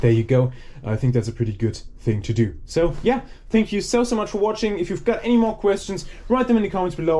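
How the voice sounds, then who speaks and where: A man talking very fast, with very wide pitch swings. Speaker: scrapping video creator. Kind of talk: casual vlog narration while working.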